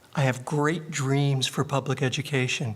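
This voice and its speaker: A man's voice, fairly high in pitch, with fairly even intonation. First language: not English. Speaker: retiring school superintendent and educator. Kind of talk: public meeting remarks. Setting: board of education meeting. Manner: halting.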